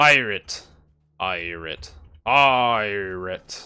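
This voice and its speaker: A man's put-on character voice, fairly low in pitch, on a very clean recording with a silent background. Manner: shouting, exaggerated.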